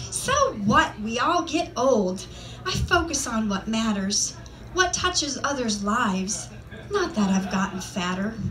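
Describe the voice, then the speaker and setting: A woman with a fairly high pitch, very wide pitch swings and a fairly slow pace over light background noise. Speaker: poet. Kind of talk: spoken word poetry reading. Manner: light-hearted, humorous. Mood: light-hearted, humorous. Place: stage.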